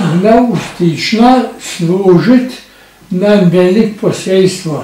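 Audible echo from the room surrounds a man as he talks. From Slovenia, Šentvid near Ljubljana; Slovenia. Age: 90s. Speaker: war witness; witness. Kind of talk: oral history testimony. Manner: lively. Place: home room.

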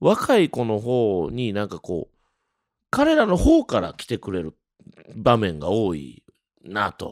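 The man's voice comes through dry and close with no echo, on a very clean recording with a silent background. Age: 40s. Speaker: jazz trumpeter. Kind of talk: casual monologue. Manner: animated; frequent fillers.

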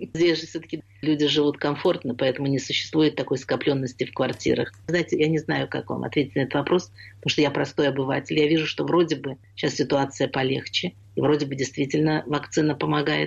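A woman speaks with a very deep, low pitch and vocal fry. Her intonation stays fairly even at a fairly quick pace. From Russia (Leningrad). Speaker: theatre scholar and memoirist. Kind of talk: radio interview.

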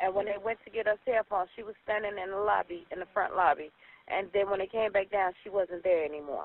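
The sound is dry, with no echo. The pace is fairly quick. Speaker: mother reporting missing daughter. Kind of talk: emergency phone call. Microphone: phone line.

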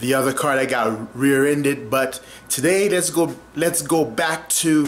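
At a fairly slow pace, the man talks, his pitch varying in an ordinary way. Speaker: vlogger. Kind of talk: casual vlog chat. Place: kitchen. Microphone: phone near.

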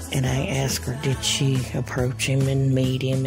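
The speech moves at a fairly slow pace. Music plays clearly in the background. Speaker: narrator. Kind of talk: casual vlog chat. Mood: warm, nostalgic. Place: car. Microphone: phone near.

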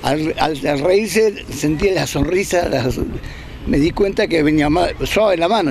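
A man's voice at a moderate pace with lively intonation, a dry sound with no echo, and noticeable background noise. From Argentina, Bariloche. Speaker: former political detainee. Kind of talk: testimony. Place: open country. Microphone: handheld.

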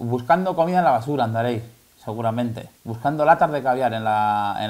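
Audible room echo surrounds a slightly mellow tone delivered at a fairly quick pace. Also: man.

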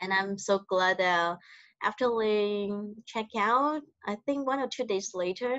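A woman speaks at a fairly slow pace with ordinary pitch variation. The sound is dry with no echo, over a quiet background. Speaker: hotel front office manager. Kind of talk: interview. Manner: soft-spoken; halting. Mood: soft-spoken, warm. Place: home room. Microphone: video call.

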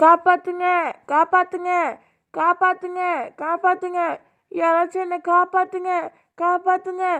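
Shouting in a put-on character voice, this female-sounding speaker sits at an extremely high pitch. The delivery is fairly slow, with monotone, flat intonation. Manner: screaming for help in terror.

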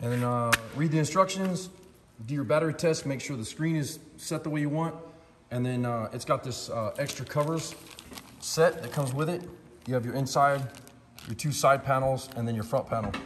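A man talks fairly quickly, his pitch varying in an ordinary way, against noticeable background noise. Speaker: product reviewer. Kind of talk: casual product review chat. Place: workshop. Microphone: phone near.

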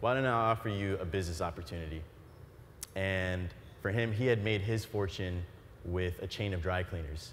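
A man with an American accent at a fairly quick pace and fairly low pitch, ordinary pitch variation, light background noise. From Florida. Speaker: entrepreneur; keynote speaker. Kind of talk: keynote speech. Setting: stage with audience. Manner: animated. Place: stage. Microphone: lapel.

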